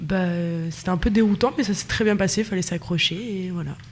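A woman's medium-pitched voice, with ordinary pitch variation, is heard amid noticeable background noise. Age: 20s. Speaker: nursing student. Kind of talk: casual interview. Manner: hesitant, many fillers.

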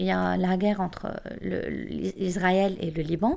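This woman speaks fairly slowly. Her recording is very clean, the background silent. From Lebanon. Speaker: student. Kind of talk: casual chat.

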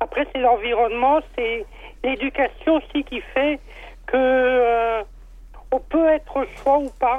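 At a very slow pace with long, frequent pauses, a woman talks in a high pitch with ordinary pitch variation. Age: 40s. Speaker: listener caller. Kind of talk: testimony. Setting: phone call.

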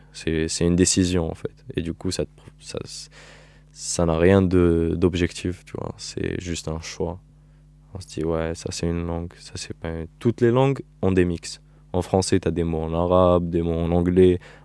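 A man with a very deep, low, dark and mellow voice speaks at a fairly slow pace, with ordinary pitch variation and big swings in loudness. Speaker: interviewee. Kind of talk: recorded interview. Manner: casual.

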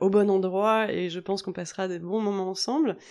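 A woman's medium-pitched voice comes through with a quiet background. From Normandy, France. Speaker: yoga teacher and podcast host. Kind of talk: solo podcast monologue. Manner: casual with frequent hesitations.

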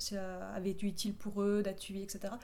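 A woman speaks at a medium pitch. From southern France, Perpignan. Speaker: playwright and short story writer. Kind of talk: radio interview.

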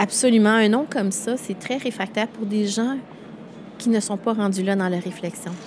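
Fairly high in pitch, a woman speaks with fairly even intonation. Her pace is moderate, with noticeable background noise. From Quebec. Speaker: event founder. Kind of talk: interview.

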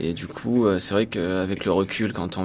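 A man talks with a very deep, low pitch. His pitch varies an ordinary amount. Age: 30s. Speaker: high school history-geography teacher. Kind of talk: testimony. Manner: halting.

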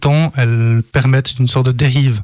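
A man speaks at a fairly slow pace and medium pitch, somewhat breathy. His intonation stays fairly even, and the sound is dry and close with no echo. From Switzerland, Lausanne. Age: 30s. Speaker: poet. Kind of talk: poetry reading. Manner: halting.

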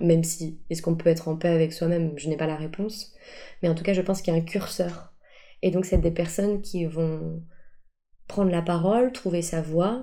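A woman speaks at a moderate pace with fairly even intonation and a dark, mellow tone. Audible room echo surrounds her voice. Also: fairly low pitch for a woman. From Paris, France. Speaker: improv actor and coach. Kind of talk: interview. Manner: hesitant, many fillers.

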